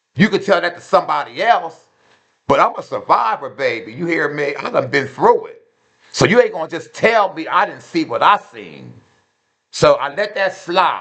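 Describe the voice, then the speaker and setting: The voice belongs to a man. He speaks at a moderate pace. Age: 50s. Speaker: fast food worker. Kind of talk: storytime vlog. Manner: loud; animated.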